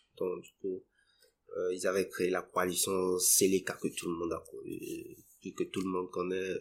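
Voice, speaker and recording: A man speaks at a very slow pace. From Central African Republic, Bangui. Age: 20s. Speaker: interviewee telling life story. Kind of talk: interview testimony. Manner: halting, many repetitions.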